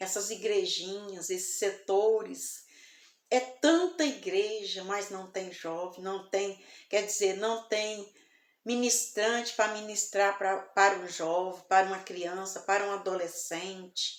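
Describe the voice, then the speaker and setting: Soft-spoken and very slow, a woman talks at a medium pitch with fairly even intonation. Audible room echo surrounds her voice. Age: 60s. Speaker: evangelical preacher. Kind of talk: sermon.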